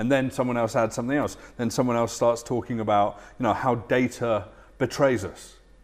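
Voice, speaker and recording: Speaking with a British accent, a man keeps a flat, monotone delivery at a medium pitch and a moderate pace. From UK. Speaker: futurist and keynote speaker. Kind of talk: interview. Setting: studio.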